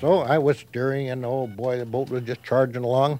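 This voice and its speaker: The speaker has an Upper Midwest accent and keeps a moderate pace. Noticeable background noise is present. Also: man. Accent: Upper Midwest (Minnesota). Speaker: community elder. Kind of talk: storytelling.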